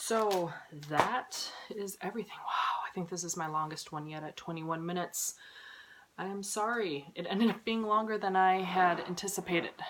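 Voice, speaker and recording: A woman talks at a moderate pace in a medium pitch with ordinary variation. Noticeable background noise is present. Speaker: cross-stitch vlogger. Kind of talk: casual haul video chat.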